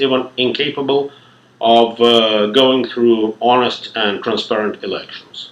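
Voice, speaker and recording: Over noticeable background noise, a man with a slight non-native accent speaks at a medium pitch. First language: not English. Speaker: lecturer. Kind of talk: lecture. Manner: formal.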